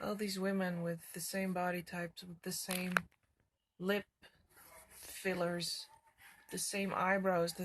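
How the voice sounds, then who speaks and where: Mumbling at a fairly slow pace, a woman speaks in a somewhat breathy medium-pitched voice with monotone, flat intonation and long, frequent pauses. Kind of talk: casual talk to camera.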